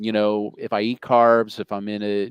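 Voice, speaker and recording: Monotone and flat, a man talks at a fairly low pitch. The sound is dry and close with no echo. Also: quiet background. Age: 60s. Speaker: food company CEO and author. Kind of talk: interview.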